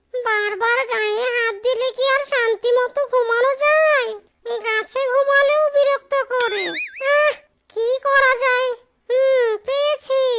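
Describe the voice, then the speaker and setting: A whiny, cartoonish character voice at an extremely high pitch and a fairly slow pace. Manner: exclamatory, whiny, uses folksy oaths.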